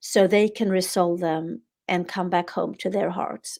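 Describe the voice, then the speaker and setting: Someone speaks at a fairly slow pace with a Swedish accent on a very clean recording with a silent background. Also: woman. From Sweden. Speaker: author. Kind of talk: interview.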